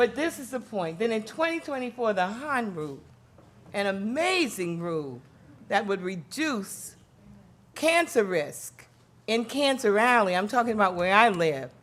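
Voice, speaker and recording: Heard with audible room echo, a woman with a fairly high pitch speaks at a moderate pace, her pitch swinging very widely. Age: 70s. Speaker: environmental justice advocate. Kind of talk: conference speech. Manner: animated.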